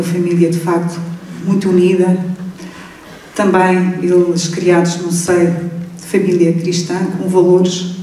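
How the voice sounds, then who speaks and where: A woman with a fairly low pitch speaks in a monotone, flat way, with audible room echo and noticeable background noise. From Portugal, Alentejo. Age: 60s. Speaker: congress panelist. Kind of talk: personal testimony. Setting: stage with audience.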